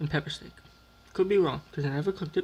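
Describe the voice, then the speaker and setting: The man speaks with a fairly high pitch. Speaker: YouTuber doing food taste tests. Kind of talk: casual vlog commentary. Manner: dramatic.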